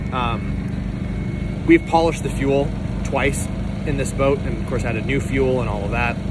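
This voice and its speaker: Loud background noise and a dry sound with no echo. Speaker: boat owner vlogger. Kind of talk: casual vlog chat. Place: boat. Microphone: phone near.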